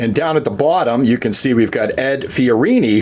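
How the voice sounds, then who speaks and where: A man with a Canadian accent talks at a moderate pace over noticeable background noise. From Canada, Ontario (Sarnia). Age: 50s. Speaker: vlogger sharing sports memories. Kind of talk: casual reminiscing monologue.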